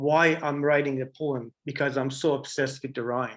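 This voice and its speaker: A man with an Iranian accent talks at a moderate pace with a fairly high pitch. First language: Farsi. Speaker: artist, printmaker. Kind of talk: artist talk Q&A.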